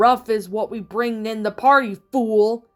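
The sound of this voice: A put-on character voice at a fairly slow pace, with faint music in the background. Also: female-sounding voice, fairly high pitch for a woman.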